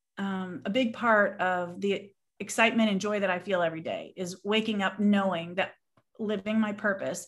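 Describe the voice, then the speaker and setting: In a very clean recording with a silent background, a woman with a Southern Californian accent speaks at a medium pitch with fairly even intonation and a fairly slow pace. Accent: Southern California American. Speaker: business woman guest. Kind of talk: casual interview chat.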